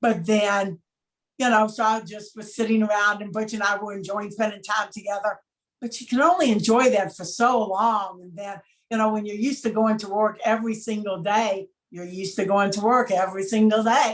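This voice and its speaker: Talking at a fairly quick clip, a woman with an unremarkable speaking voice and fairly high pitch keeps her intonation fairly even while her loudness swings widely. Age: 60s. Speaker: chocolate maker, former dental worker. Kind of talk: interview.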